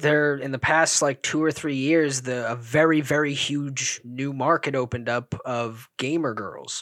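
A man with a normal speaking voice, fairly high in pitch, talks at a fairly slow pace with fairly even intonation and hardly any pauses. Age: 20s. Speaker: podcast co-host. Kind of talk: casual chat.

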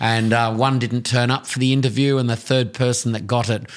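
In an Australian accent, a man speaks at a fairly quick pace with fairly even intonation. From Tasmania, Australia. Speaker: tourism business owner. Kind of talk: interview.

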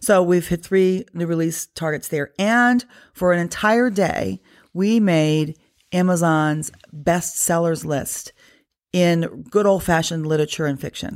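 A woman with an American accent and fairly low pitch, fairly slow in pace with ordinary pitch variation, on a very clean recording with a silent background. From US, northern Virginia (Loudoun County). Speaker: business founder and author. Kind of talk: interview conversation. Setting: at her home. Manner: hesitant with many fillers.

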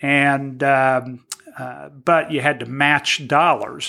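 A man with a Midwestern American accent speaks at a medium pitch. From Indiana, Terre Haute. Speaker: small business owner and former city councilman. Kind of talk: casual interview.

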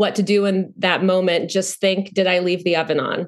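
A woman with a normal speaking voice talks at a medium pitch and a fairly quick pace. The background is quiet. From North Carolina, US South. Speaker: actor. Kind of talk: casual interview chat.

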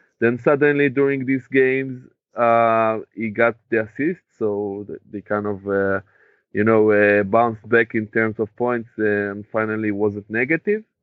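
A man speaks with an Israeli accent at a fairly slow pace. His medium-pitched voice keeps fairly even intonation. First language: Hebrew. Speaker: podcast co-host. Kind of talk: casual chat.

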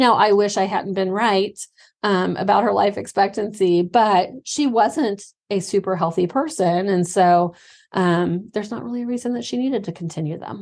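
Speaking at a moderate pace, a woman uses a plain, everyday voice. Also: medium pitch for a woman, ordinary pitch variation, quiet background. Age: 40s. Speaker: midwife, podcast co-host. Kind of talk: educational casual chat.

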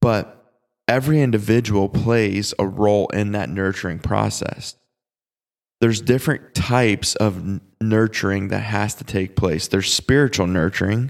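This is a plain, everyday voice with ordinary pitch variation at a moderate pace, captured in a very clean recording with a silent background. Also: man, fairly low pitch for a man. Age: 20s. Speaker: youth pastor and podcast host. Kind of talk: casual teaching monologue.

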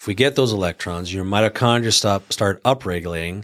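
An unremarkable speaking voice with ordinary pitch variation comes through in a very clean recording with a silent background. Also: man. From Canada. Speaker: chiropractic clinic owner, health practitioner. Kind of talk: casual chat.

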